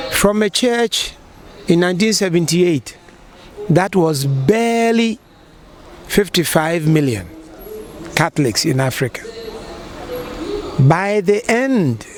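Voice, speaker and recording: Amid noticeable background noise, a man speaks at a very slow pace with long, frequent pauses. His voice is high-pitched with lively intonation. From Ghana. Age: 60s. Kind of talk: interview answer.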